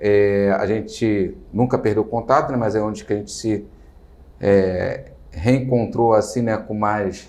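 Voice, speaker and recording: A man speaks in a Rio de Janeiro accent. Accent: carioca (Rio de Janeiro). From Rio de Janeiro, Brazil. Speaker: entrepreneur, business owner. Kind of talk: interview. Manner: hesitant, many fillers.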